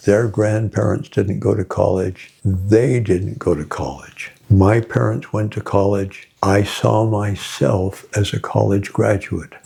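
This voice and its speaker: A man's very slow, fairly low-pitched voice with ordinary pitch variation, hardly any pauses and noticeable background noise. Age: 80s+. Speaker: author and success speaker. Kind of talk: interview talk.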